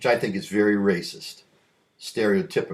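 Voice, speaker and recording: Here a man speaks with a fairly low pitch. His pace is moderate. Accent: American. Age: 60s. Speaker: vlogger. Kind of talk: casual monologue. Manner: halting, with many repeats.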